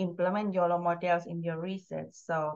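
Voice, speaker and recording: Over a quiet background, a woman with an unremarkable speaking voice talks at a fairly low pitch with ordinary pitch variation. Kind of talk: lecture. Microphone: webcam.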